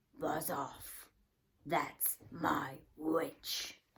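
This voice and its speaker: A put-on character voice, croaky, shrill and growling, at a middle pitch. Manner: menacing, protective.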